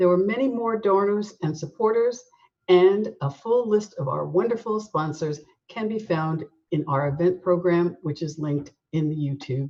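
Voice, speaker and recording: A woman speaks in a plain, everyday voice, fairly low in pitch, with lively intonation at a fairly slow pace. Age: 60s. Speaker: nonprofit board president. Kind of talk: formal welcome address.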